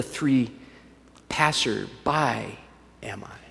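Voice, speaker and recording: With a Southern US accent, a man speaks at a fairly high pitch with ordinary pitch variation. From US South, Alabama. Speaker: pastor. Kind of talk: sermon.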